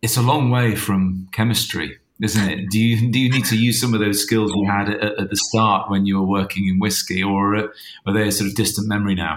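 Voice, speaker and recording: A man with a fairly low pitch talks in a normal speaking voice, with very even loudness and fairly even intonation. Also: fairly quick pace. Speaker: podcast interviewer. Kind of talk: casual interview conversation.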